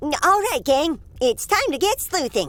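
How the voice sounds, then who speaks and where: A squeaky, high-pitched cartoonish character voice speaks at a fairly slow pace. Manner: stammering, excitable.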